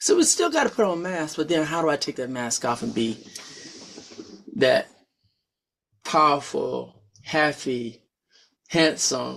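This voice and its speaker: Speaking at a fairly slow pace with long, frequent pauses, a man is heard on a very clean recording with a silent background. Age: 50s. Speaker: podcast host and pastor. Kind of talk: casual talk show conversation. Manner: animated, repeats words.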